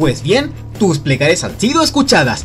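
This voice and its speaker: An upbeat tone at a moderate pace, with music in the background. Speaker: voice actor. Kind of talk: parody radio commercial read. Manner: upbeat, salesy.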